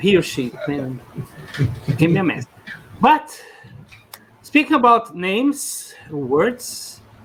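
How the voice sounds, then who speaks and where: A man with a Portuguese accent speaks at a very slow pace, leaving long, frequent pauses. His pitch sits high and swings very widely, over noticeable background noise. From Brazil. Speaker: podcast co-host. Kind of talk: casual chat.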